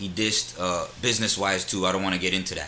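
A man talks at a moderate pace, and noticeable background noise can be heard behind him. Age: 30s. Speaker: rapper. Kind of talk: casual chat, hip hop interview. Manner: laid-back, slangy.

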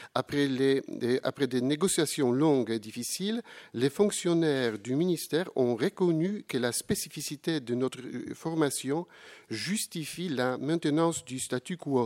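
Fairly slow speech in a Polish accent with lively intonation, dry and close with no echo, in a very clean recording with a silent background. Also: man, fairly high pitch for a man. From Poland. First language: Polish (speaking French). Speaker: professor. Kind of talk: conference talk. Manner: formal.

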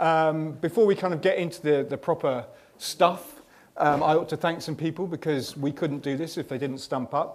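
The speaker has a plain, everyday voice. Delivery is at a moderate pace with fairly even intonation. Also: man, fairly high pitch for a man. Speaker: magazine editor. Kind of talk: live interview and event hosting. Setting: showroom with live audience.

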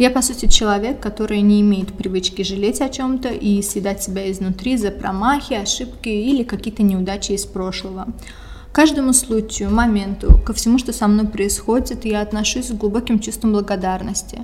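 Over noticeable background noise, a woman talks at a medium pitch and moderate pace with fairly even intonation. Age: 20s. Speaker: podcast host. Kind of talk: scripted monologue.

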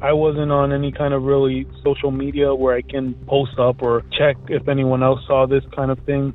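A man speaks with an American accent in a flat, monotone delivery. His pitch is fairly high, and there is noticeable background noise. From Elizabeth, New Jersey. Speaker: listener sharing a story. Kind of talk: voicemail story.

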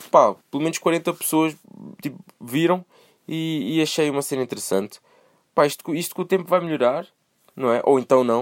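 A man at a moderate pace with long, frequent pauses, fairly high pitch and ordinary pitch variation, in a dry, close sound with no echo. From Portugal, moved from Brazil as a small child. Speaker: solo podcaster. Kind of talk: casual monologue. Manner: animated.

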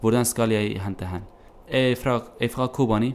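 A man with a medium-pitched voice and an Arabic accent, at a very slow pace. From Syria. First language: Arabic (speaking Norwegian). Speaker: refugee. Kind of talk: interview. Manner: halting, many hesitations.

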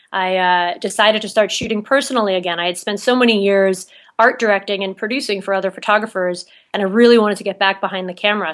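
A woman's unremarkable speaking voice at a fairly quick pace, over a quiet background. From New Jersey. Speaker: photographer and producer. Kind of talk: interview.

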